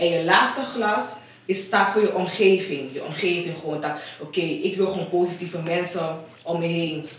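With noticeable background noise and audible room echo, a woman speaks at a moderate pace in a fairly low pitch. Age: 20s. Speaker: home care worker. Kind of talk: casual chat. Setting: radio studio.

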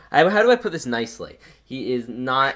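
A man with a medium-pitched voice speaks at a fairly quick pace with ordinary pitch variation, in a very clean recording with a silent background. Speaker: LEGO YouTuber podcast host. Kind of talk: casual chat. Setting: home basement. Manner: loud.

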